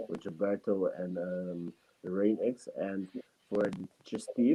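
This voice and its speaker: At a fairly slow pace, a man talks with a non-native accent. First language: not English. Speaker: student and entrepreneur. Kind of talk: interview answer on a talk show. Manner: halting, many fillers.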